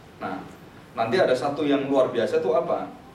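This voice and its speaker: Audible room echo and noticeable background noise surround a man speaking at a fairly high pitch. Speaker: Bible teacher. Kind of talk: lecture. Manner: loud.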